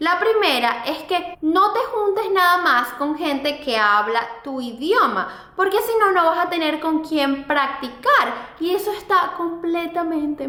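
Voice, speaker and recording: A woman with an extremely high pitch uses a raised, projected voice and lively intonation at a fairly slow pace. Audible room echo and noticeable background noise fill the recording. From Venezuela. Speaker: fashion blogger and YouTuber. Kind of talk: vlog advice talk.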